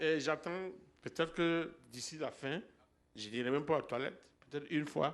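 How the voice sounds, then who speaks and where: At a moderate pace, a man with a fairly high pitch and ordinary pitch variation talks with long, frequent pauses. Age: 60s. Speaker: church member giving healing testimony. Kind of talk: testimony. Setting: church. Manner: halting.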